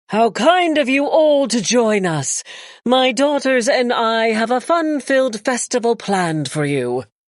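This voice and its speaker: This put-on character voice sits at a fairly high pitch, moving at a fairly slow pace with very wide pitch swings. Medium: read story.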